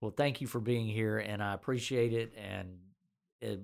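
A Southern US accent on a very clean recording with a silent background. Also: man. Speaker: physician and podcast host. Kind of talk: casual interview.

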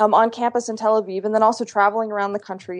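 An American accent is heard. Little sound intrudes from the quiet background. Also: woman. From Pennsylvania, US. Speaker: foreign policy analyst and author. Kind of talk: interview. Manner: halting, many repetitions and fillers.

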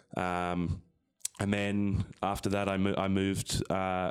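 Here is a man with an Australian accent. His pitch is very deep and low, with monotone, flat intonation. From Sydney, Australia. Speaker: professional rugby player. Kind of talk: interview.

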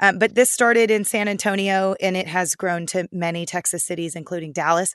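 An unremarkable speaking voice from a woman at medium pitch, with fairly even intonation, a fairly quick pace, a dry, close sound with no echo, and a quiet background. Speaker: food reporter. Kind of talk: casual chat and interview.

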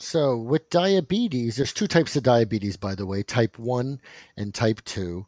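A man at medium pitch with lively intonation and a moderate pace, in a very clean recording with a silent background and a dry, close sound with no echo. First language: not English. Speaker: doctor podcast co-host. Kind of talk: casual medical chat.

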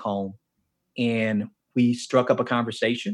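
A man with a medium pitch speaks in an American accent. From US South, Miami, Florida. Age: 50s. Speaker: author and men's ministry leader. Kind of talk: casual interview chat. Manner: animated.

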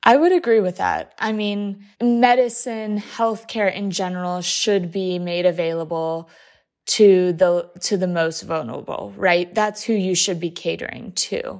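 On a very clean recording with a silent background, a woman with an ordinary speaking voice talks at a medium pitch and moderate pace with fairly even intonation. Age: 20s. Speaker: patient advocate. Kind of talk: interview.

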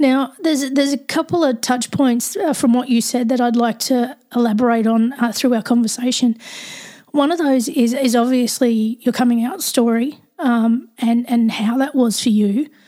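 With an Australian accent, a woman speaks at a moderate pace and a high pitch, in a dark, mellow tone with fairly even intonation and very even loudness. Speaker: podcast host. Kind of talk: casual interview chat.

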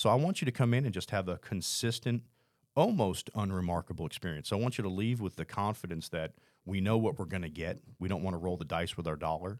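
A man's very deep, low voice moves at a very fast pace with ordinary pitch variation, captured in a very clean recording against a silent background. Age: 50s. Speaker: restaurant and bar owner. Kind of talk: interview.

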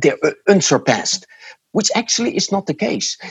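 A man speaks with a Dutch accent. Vocal fry runs through his voice. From Netherlands. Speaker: marketing professor and author. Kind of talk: interview. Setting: remote call from home. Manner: halting.

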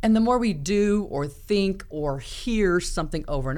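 There is audible room echo as a woman with an American accent talks at a fairly slow pace. Her pitch is medium, with very wide swings. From US Midwest, small-town Iowa. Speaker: podcast host, leadership coach. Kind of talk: casual chat.

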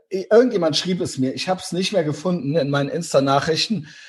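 The background is quiet. A man talks high in pitch with ordinary pitch variation. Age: 40s. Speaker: podcast co-host. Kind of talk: casual chat.

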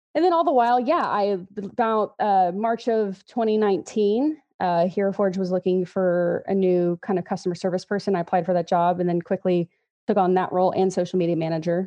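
With an American accent and an ordinary speaking voice, a woman talks at a fairly quick pace, medium in pitch, with ordinary pitch variation and very even loudness. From Texas, Houston area. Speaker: social media manager at a miniatures company. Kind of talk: casual interview chat.

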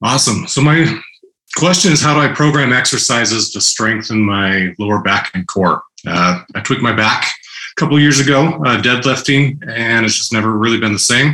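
In a plain, everyday voice, a man with a medium pitch talks at a moderate pace with lively intonation. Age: 30s. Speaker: podcast caller. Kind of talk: casual chat.

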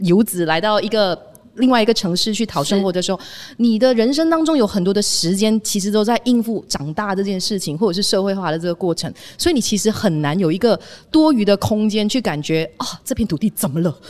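This woman has a plain, everyday voice at medium pitch. She talks at a fairly quick pace with lively intonation. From Malaysia. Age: 30s. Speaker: former radio DJ, media founder. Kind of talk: casual chat. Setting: on location.

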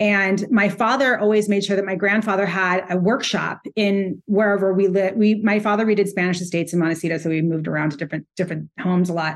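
A woman with an American accent speaks at medium pitch. She talks very fast, with ordinary pitch variation. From California. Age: 50s. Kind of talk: casual chat.

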